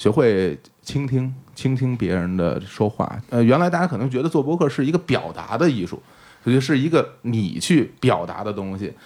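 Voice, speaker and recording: A man speaks at a moderate pace with a medium pitch. His pitch swings very widely. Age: middle-aged. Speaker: podcast host and stage performer. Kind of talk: casual interview chat.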